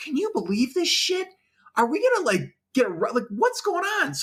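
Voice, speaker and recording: This put-on character voice is squeaky and extremely high, with very wide pitch swings, moving at a moderate pace. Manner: whispering.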